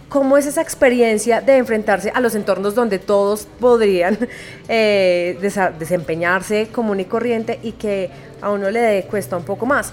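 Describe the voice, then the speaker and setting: Noticeable background noise accompanies a woman speaking at a fairly slow pace. Her pitch is fairly high, with ordinary variation. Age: 30s. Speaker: podcast host and voice-over artist. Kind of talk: casual chat. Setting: recorded at a clothing fair with crowd.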